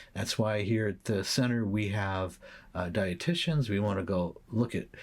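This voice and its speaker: Somewhat breathy and fairly low in pitch, a man speaks at a moderate pace on a very clean recording with a silent background. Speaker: psychologist and podcast host. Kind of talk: solo educational talk. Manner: hesitant with fillers.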